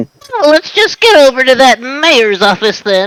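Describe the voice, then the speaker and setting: A woman does a put-on character voice at high pitch with very wide pitch swings. Her moderate pace comes through in a dry, close sound with no echo. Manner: acted, cartoonish.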